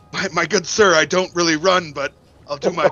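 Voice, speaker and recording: A man's put-on character voice, raspy and high-pitched, fairly quick with fairly even intonation. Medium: actual play. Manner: polite, courtly.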